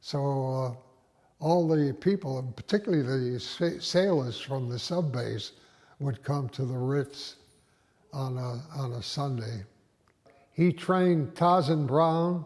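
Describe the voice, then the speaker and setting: A man speaks in an American accent, somewhat breathy and at a fairly high pitch. His pace is fairly slow, with ordinary pitch variation and long, frequent pauses. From Rhode Island, US (Westerly). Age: 90s. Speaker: retired doctor recounting local history. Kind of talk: oral history interview. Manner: halting, many fillers and restarts.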